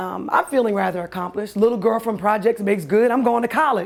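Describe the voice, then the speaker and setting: A woman talks at a fairly quick pace in an animated tone, her fairly high voice showing vocal fry and ordinary pitch variation. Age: 40s. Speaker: storyteller. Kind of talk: personal storytelling.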